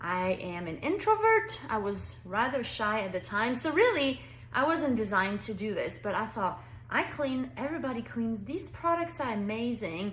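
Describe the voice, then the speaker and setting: Noticeable background noise and audible room echo behind a woman's moderate-paced speech. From France. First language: French. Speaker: direct sales consultant. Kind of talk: sales pitch. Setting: pre-recorded video for online party. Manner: animated.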